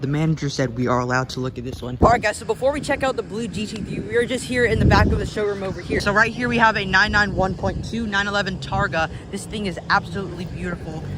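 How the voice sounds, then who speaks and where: A man's high, animated voice at a very fast pace, with very wide pitch swings, hardly any pauses and noticeable background noise. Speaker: car vlogger. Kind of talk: walkaround video commentary. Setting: car showroom.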